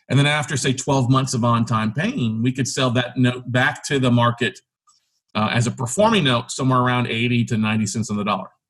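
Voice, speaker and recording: A normal speaking voice from a man with an American accent, medium pitch, fairly even intonation and a fairly quick pace. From South Texas. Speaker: real estate investor and podcast host. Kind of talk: podcast interview.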